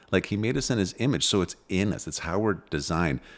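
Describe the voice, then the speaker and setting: A man's voice shows vocal fry on a very clean recording with a silent background. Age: 40s. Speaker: parenting podcast host. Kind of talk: casual chat.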